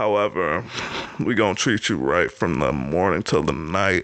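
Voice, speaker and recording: A man speaks over noticeable background noise. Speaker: podcast host. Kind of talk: casual podcast monologue. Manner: trying to be animated.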